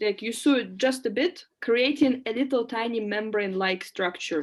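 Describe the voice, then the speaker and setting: A woman with a Russian accent speaks at a fairly slow pace in a fairly high pitch, with ordinary pitch variation and a quiet background. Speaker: lecturer. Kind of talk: lecture.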